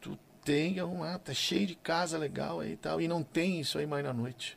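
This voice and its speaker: A man with fairly high pitch and vocal fry talks at a fairly slow pace with ordinary pitch variation. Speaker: gaucho music singer. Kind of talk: casual interview chat.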